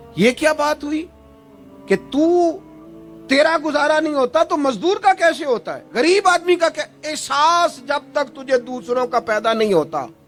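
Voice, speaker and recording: A passionate tone with ordinary pitch variation, music playing in the background. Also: man. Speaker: Islamic preacher. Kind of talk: emotional religious sermon. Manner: passionate, rhetorical, asks questions to audience.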